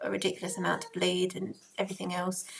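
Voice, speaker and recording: With an Essex accent, a woman is speaking. She talks at a very fast pace. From Essex, England. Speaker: parenting vlogger. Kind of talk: casual vlog talk to camera. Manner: hesitant, many fillers.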